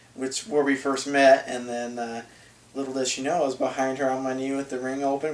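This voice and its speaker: Over noticeable background noise, a man with an American accent talks at a very fast pace in a monotone, flat intonation. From Southern California. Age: 20s. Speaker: accountant, groom. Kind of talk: interview, wedding video.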